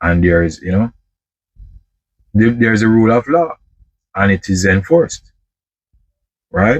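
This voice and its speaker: A man with a Jamaican accent, lively intonation and a fairly slow pace, in a dry, close sound with no echo. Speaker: truck driver vlogger. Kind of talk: casual monologue vlog. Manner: halting, many repetitions.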